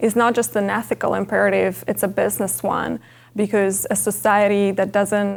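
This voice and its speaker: A woman speaks at a moderate pace with an Italian accent. The recording is very clean, with a silent background. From Italy, Milan. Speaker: MBA student. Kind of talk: personal testimony interview.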